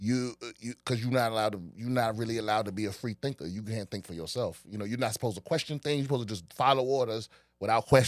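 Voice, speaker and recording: A man talks at a very fast pace in a dry, close sound with no echo, on a very clean recording with a silent background. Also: medium pitch for a man, ordinary pitch variation. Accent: slight Washington DC. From Washington DC area. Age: 40s. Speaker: comedian. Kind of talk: casual chat.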